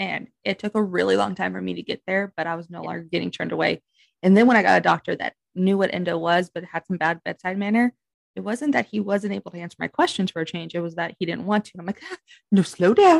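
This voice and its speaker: A woman speaks at a very fast pace with big swings in loudness, recorded with a dry, close sound with no echo against a quiet background. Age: 30s. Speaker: podcast co-host. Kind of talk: casual chat.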